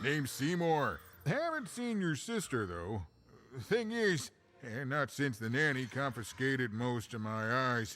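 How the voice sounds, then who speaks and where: A man puts on a character voice. He speaks fairly slowly at a medium pitch. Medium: video game. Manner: rambling, warm.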